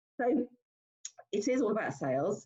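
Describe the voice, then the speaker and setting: Very wide pitch swings mark this woman's speech. Her tone is dark and mellow, and somewhat breathy. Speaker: business owner hosting a networking meetup. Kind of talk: online meeting introduction. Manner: halting, many fillers.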